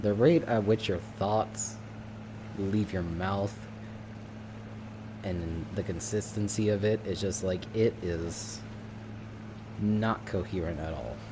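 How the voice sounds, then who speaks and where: A man talks very slowly, with long, frequent pauses and fairly even intonation. His fairly low voice has a dark, mellow tone and vocal fry. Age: 20s. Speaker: streamer. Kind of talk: casual chat. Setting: live stream. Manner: halting.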